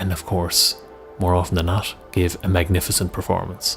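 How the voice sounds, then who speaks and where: Music plays behind a man with a very deep, low voice. He talks at a fairly quick pace in a calm, soothing tone. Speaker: meditation coach. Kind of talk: guided visualization.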